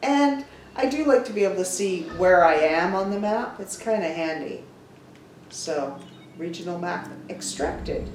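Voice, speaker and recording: A woman at medium pitch with lively intonation, moderate pace, long, frequent pauses, and noticeable background noise. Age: old. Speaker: gaming grandmother. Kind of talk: gameplay commentary. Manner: relaxed.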